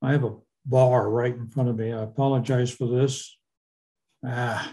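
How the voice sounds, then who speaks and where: Somewhat breathy and dark, mellow in tone, a man speaks at a medium pitch and a moderate pace with monotone, flat intonation. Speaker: hearing loss advocate. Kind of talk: presentation. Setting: video call.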